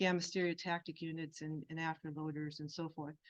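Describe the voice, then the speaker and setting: A woman speaks softly. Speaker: health physicist. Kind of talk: conference presentation. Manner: soft-spoken; halting.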